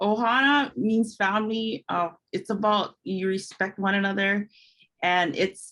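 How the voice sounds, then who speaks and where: A woman speaks at a medium pitch with a bright, sharp tone. Her intonation stays fairly even. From Hawaii, Kauai. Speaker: empowerment coach and podcaster. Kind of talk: interview. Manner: casual, with many fillers.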